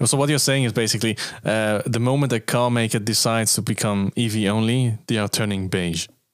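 A man with an ordinary speaking voice talks at a fairly quick pace. His pitch sits in the medium range, and his intonation stays fairly even. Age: 30s. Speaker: car podcast host. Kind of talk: casual chat.

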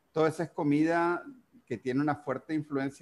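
Keeping a moderate pace, a man speaks at a fairly high pitch. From Uruguay. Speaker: podcast host. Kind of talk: casual interview. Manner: halting.

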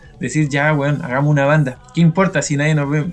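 Over noticeable background noise, a man with a Chilean accent speaks at a fairly high pitch. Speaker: podcast host. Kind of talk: casual chat.

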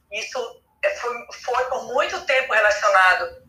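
Audible room echo around a woman talking at a moderate pace. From Pará, Brazil. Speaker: journalist and travel creator. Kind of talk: casual chat.

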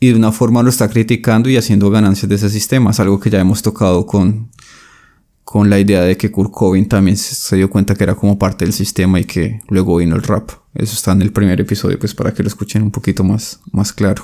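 A man talks at a very fast pace in a fairly low voice with a dark, mellow tone. His intonation is monotone and flat, and his loudness very even. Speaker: podcast co-host discussing philosophy books. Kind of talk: casual discussion.

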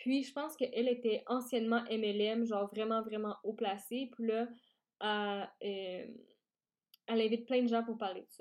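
With a Quebec accent, a woman talks at a very slow pace in a fairly high voice with a dark, mellow tone and fairly even intonation against a quiet background. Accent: Québécois French. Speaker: podcast host, startup founder. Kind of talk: solo podcast talk.

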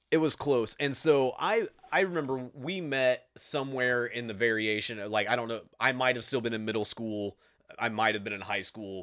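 An Indiana accent at a moderate pace, with ordinary pitch variation. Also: man, medium pitch for a man. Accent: Midwestern US (Indiana). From Indiana, US Midwest. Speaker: podcast host. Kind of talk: casual interview chat. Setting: video call.

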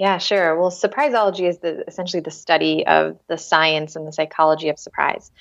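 Against a quiet background, the speaker talks at a fairly quick pace with hardly any pauses. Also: woman. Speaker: entrepreneur and psychologist. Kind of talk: interview. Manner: energetic.

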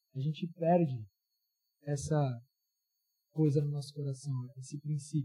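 The voice has a dark, mellow tone, is somewhat breathy, and moves at a moderate pace. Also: man. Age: 20s. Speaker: youth pastor. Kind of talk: sermon. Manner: casual, interactive.

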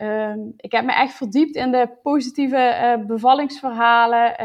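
A woman talks slowly, at a fairly slow pace, her high pitch showing ordinary pitch variation. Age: 20s. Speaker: new mother sharing birth story. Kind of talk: personal testimony. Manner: hesitant, many fillers.

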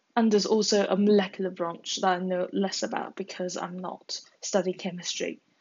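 A woman's somewhat breathy, medium-pitched voice with monotone, flat intonation, at a moderate pace with hardly any pauses. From China. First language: Chinese. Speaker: podcaster and university student. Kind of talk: solo monologue podcast. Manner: casual, with hesitations.

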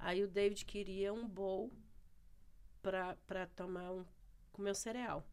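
A woman's medium-pitched voice, very slow, with long, frequent pauses and monotone, flat intonation. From Brazil, Ceará. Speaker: church member. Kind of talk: casual chat. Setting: studio.

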